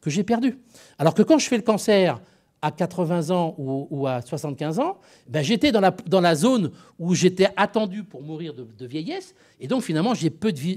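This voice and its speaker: A man speaks at a moderate pace with a high pitch and very wide pitch swings. The recording is very clean, with a silent background. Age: 60s. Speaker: emergency physician. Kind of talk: panel talk. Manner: hesitant, many repetitions.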